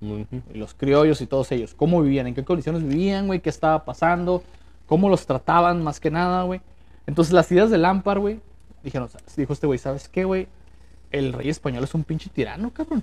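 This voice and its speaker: Here is a man with a plain, everyday voice. His pitch is fairly high with ordinary variation, and his pace is fairly quick. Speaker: podcast host. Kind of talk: casual chat. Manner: casual, slangy.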